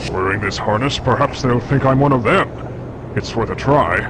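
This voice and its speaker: A man puts on a character voice at medium pitch over loud background noise. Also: moderate pace. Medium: game stream. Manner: wry, understated.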